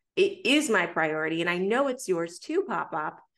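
The speaker is a woman at a fairly slow pace. The background is quiet. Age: 20s.

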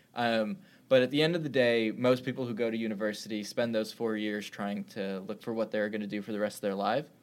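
The delivery is very fast. Its intonation stays fairly even. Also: man, medium pitch for a man. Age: 20s. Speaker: startup founder and CEO. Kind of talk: interview.

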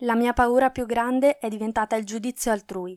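A woman's fairly high voice at a fairly quick pace, dry and close with no echo, on a very clean recording with a silent background. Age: 20s. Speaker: podcaster. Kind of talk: scripted personal narration.

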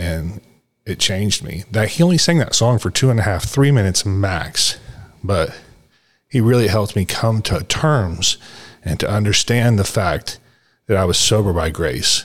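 A man with a fairly low pitch talks with lively intonation and a somewhat breathy sound. The recording is very clean, with a silent background. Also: moderate pace. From Texas, Dallas. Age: 50s. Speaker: podcast host. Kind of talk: casual interview.

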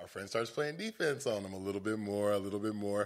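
A man with a plain, everyday voice, fairly low in pitch and at a fairly quick pace. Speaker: podcast guest. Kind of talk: casual chat.

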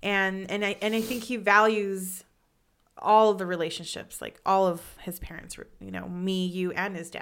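A loud woman's voice at medium pitch and moderate pace. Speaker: podcast co-host. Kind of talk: casual chat. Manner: energetic.

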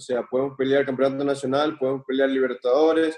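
A man's dark, mellow tone at a medium pitch and a very fast pace. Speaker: professional footballer. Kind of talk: casual interview.

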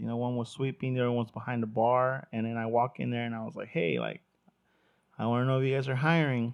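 At a fairly quick pace, a man with a Spanish accent speaks at a medium pitch with fairly even intonation. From Mexico, moved to US at eleven. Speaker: podcast host, hospitality worker. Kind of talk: casual chat.

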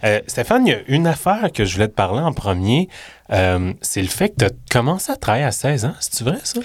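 A man with a Quebec accent speaks at a fairly quick pace with very wide pitch swings. It is a very clean recording with a silent background. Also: medium pitch for a man. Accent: Québécois French. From Quebec City. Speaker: podcast host. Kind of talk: casual interview. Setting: studio.

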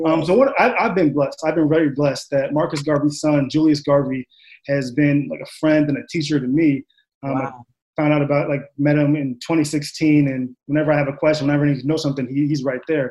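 A man's plain, everyday voice with an American accent, fairly high in pitch, fairly even in intonation and fairly quick in pace. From Long Island, New York. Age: 20s. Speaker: psychology doctoral candidate. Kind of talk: panel discussion.

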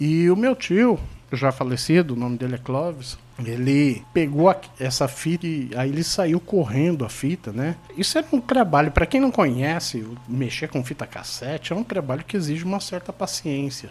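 Fairly high in pitch, this man has an unremarkable speaking voice, a moderate pace and lively intonation. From Brazil, mostly São Paulo, Brasília and Paraná. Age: 40s. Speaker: podcast host. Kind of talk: casual chat.

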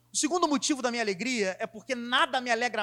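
On a very clean recording with a silent background, a raised, projected voice with a bright, sharp tone carries lively intonation. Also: man. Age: 20s. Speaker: preacher. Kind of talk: sermon.

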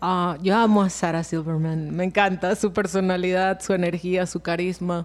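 In a very clean recording with a silent background, a woman speaks at medium pitch and a moderate pace in a monotone, flat delivery with hardly any pauses. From Venezuela. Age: 30s. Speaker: voice actress and sound specialist. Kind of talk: casual chat.

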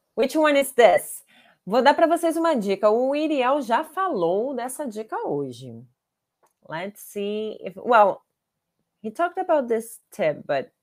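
A woman with a Brazilian accent, fairly high-pitched, at a very slow pace with long, frequent pauses, very wide pitch swings, and big swings in loudness. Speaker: language teacher. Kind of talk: live online class. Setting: livestream. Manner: animated.

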